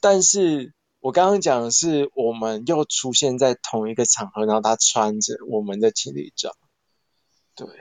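At a moderate pace, a man with a medium pitch talks with lively intonation. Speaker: human design commentator. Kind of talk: casual chat. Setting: live social audio room.

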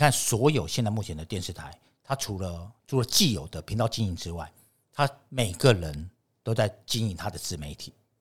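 With lively intonation and big swings in loudness, a somewhat breathy man speaks at a moderate pace and a fairly low pitch in a very clean recording with a silent background. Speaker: TV director and lecturer. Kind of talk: casual interview.

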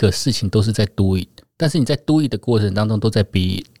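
Against a very clean, silent background, a man talks at a fairly quick pace with a fairly low pitch, a dark, mellow tone and lively intonation, the sound dry and close with no echo. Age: 40s. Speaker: podcast co-host. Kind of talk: casual chat.

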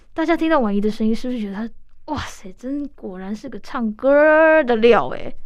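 A woman talks with a Taiwanese accent in a high pitch. Her tone is warm and animated. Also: lively intonation, moderate pace. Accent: Taiwanese Mandarin. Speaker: radio host. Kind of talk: radio interview. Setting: radio studio. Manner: warm, animated, laughs often.

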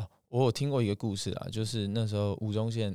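An unremarkable speaking voice from a man at a fairly low pitch, moderate pace and fairly even intonation, in a very clean recording with a silent background and a dry, close sound without echo. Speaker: singing teacher. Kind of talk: interview conversation.

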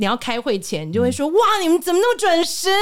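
Pitch rises and falls across a very wide range. The tone comes across as animated. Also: woman. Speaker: speech and communication trainer. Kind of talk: interview.

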